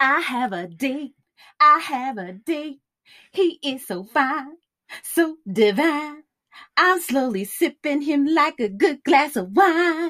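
In a very clean recording with a silent background, a woman puts on a character voice, high-pitched with a fairly bright tone, lively intonation and a slow pace.

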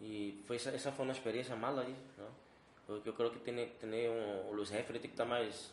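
The speech comes at a fairly quick pace in a monotone, flat intonation, with noticeable background noise. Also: man, medium pitch for a man. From Brazil, Salvador Bahia. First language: Portuguese (speaking Spanish). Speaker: jiu-jitsu and MMA instructor, fighter. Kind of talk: casual interview. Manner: halting, mixing Spanish and Portuguese.

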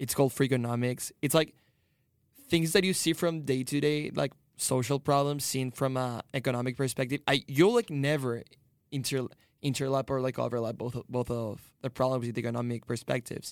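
A man speaks at medium pitch and a moderate pace with fairly even intonation. The sound is dry and close, with no echo. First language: Spanish. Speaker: international student. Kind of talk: roundtable discussion.

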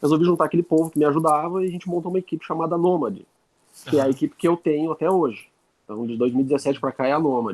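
A man's very fast speech with ordinary pitch variation, dry and close with no echo. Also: fairly high pitch for a man. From Southern Brazil, Lages (Santa Catarina). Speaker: airsoft team leader. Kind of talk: casual interview chat.

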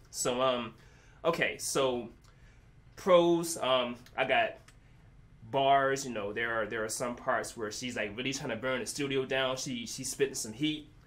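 A man with a medium pitch and ordinary pitch variation speaks at a fairly slow pace with long, frequent pauses, amid audible room echo. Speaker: music reviewer. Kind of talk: casual chat.

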